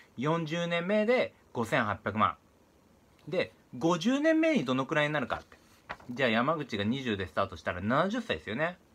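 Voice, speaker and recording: A man's voice with very wide pitch swings and a bright, sharp tone. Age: 30s. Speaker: real estate investor. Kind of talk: monologue to camera. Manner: many filler sounds. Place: home room. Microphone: phone near.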